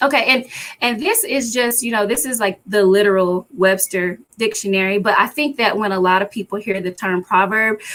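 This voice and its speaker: Ordinary pitch variation marks this voice, which keeps to a moderate pace. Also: woman, medium pitch for a woman. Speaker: hoodoo priestess and spiritual teacher. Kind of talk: livestream lecture with chat interaction. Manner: casual.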